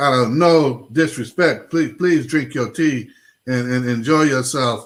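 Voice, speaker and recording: Using an ordinary speaking voice, a man with an American accent speaks at a fairly slow pace and a fairly high pitch, with ordinary pitch variation. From Los Angeles. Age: 60s. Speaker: pastor and talk show host. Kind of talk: casual chat.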